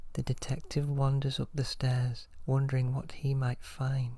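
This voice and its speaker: The soft-spoken voice moves at a very slow pace. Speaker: ASMR storyteller. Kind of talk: soft-spoken ASMR story reading.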